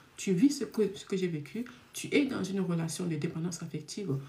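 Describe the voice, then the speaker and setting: A woman's medium-pitched, somewhat breathy voice with a dark, mellow tone. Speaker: love coach and speaker. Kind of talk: live stream talk. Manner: naturally fast talker.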